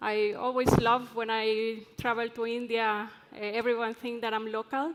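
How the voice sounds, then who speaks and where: A woman with an Ecuadorian accent, fairly high pitch and monotone, flat intonation, at a moderate pace. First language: Spanish. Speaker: drilling engineer and conference speaker. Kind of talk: conference presentation. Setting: stage with audience.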